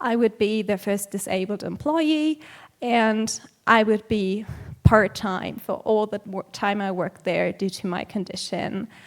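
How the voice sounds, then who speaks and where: A woman speaks at a fairly slow pace in a German accent, her pitch medium. The recording is very clean, with a silent background. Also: ordinary pitch variation. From Germany. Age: 20s. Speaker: vegan activist and conference speaker. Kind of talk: conference talk. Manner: hesitant, with frequent um fillers.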